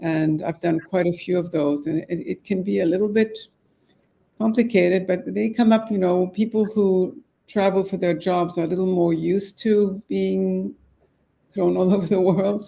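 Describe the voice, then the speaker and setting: Over a very clean recording with a silent background, a woman speaks at a moderate pace. Her medium-pitched voice has a dark, mellow tone and ordinary pitch variation. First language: French. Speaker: divorce mediator. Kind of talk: podcast interview.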